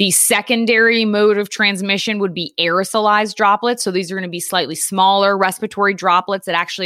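A woman speaks at medium pitch with an American accent in a bright, sharp tone. The recording is very clean, with a silent background and a dry, close sound with no echo. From Connecticut, Long Island and New York City, now Philadelphia. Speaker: podcast co-host, scientist. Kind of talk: explanatory, scientific.

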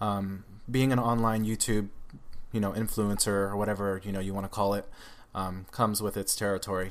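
A man speaks at a fairly low pitch and a fairly quick pace. His is a normal speaking voice. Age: 20s. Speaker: social media creator and guest sharing his coming-out story. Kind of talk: casual interview conversation.

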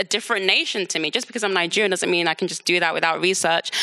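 A woman with a London accent and a fairly low-pitched voice speaks over noticeable background noise. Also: dry, close sound with no echo. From London, England. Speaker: author. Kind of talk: live book talk interview.

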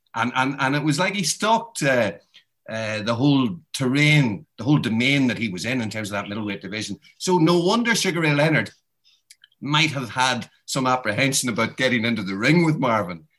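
A man with a Northern Irish accent speaks at a fairly quick pace, his pitch sitting in the medium range. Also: lively intonation. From Northern Ireland (Derry). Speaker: boxing author and journalist. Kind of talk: interview. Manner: halting.

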